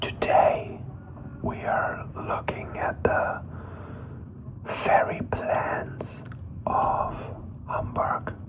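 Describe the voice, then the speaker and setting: Whispering at a very slow pace, a man leaves long, frequent pauses amid noticeable background noise. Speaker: ASMR creator. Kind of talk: ASMR whispered explanation. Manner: whispered, soft-spoken, slow.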